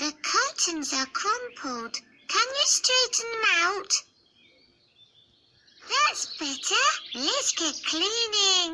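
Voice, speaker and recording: The speaker puts on a character voice at an extremely high pitch, with very wide pitch swings. Delivery is very slow, broken by long, frequent pauses. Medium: read story. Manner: cheerful, friendly.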